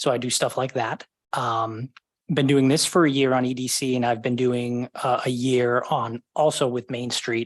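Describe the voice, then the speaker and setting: Speaking at a moderate pace with an American accent, a man keeps a medium pitch and a monotone, flat intonation. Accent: Boston accent, somewhat controlled. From Boston area, Massachusetts. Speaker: committee member, government data analyst. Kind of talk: meeting self-introduction. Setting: livestreamed city committee meeting.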